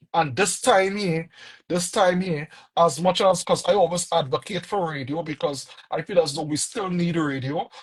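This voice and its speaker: A man with a Trinidadian accent speaks at a high pitch. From Trinidad and Tobago. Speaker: music producer and artist manager. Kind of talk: interview. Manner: repetitive, halting restarts.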